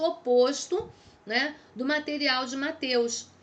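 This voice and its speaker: Woman's high voice, ordinary in its pitch variation. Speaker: theology teacher. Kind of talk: lecture. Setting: recorded video lesson.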